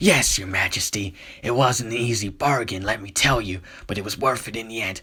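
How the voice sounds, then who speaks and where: A man's put-on character voice at medium pitch, delivered at a fairly quick pace. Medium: read story. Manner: smug, self-assured.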